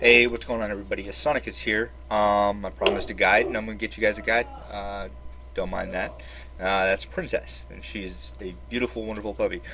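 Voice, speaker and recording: His voice has a very deep, low pitch with very wide pitch swings. The man talks at a fairly quick pace over noticeable background noise. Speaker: gaming YouTuber. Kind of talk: game tutorial. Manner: hesitant, many fillers.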